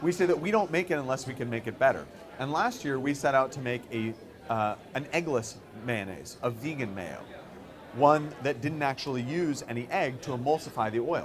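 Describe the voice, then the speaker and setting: The speaker has an American accent and a moderate pace. Noticeable background noise runs behind the voice. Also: man, medium pitch for a man, ordinary pitch variation. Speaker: company co-founder. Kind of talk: conference talk.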